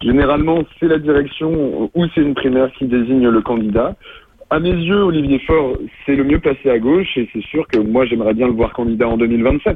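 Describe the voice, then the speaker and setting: A man with a normal speaking voice at a moderate pace, his loudness very even. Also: medium pitch for a man, ordinary pitch variation. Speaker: student, political activist. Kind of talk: radio interview. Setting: phone call.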